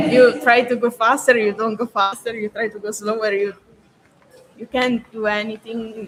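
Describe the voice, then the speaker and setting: Someone with a non-native accent speaks at a fairly slow pace against noticeable background noise. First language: not English. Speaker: freediving athlete. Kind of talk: interview. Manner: halting.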